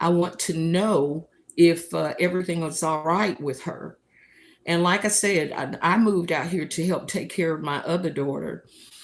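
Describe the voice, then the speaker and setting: A woman speaks in a Southern US accent. Her pitch sits fairly low, and her intonation stays fairly even. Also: moderate pace. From US South, North Carolina. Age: 70s. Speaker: livestream host. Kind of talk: casual livestream monologue.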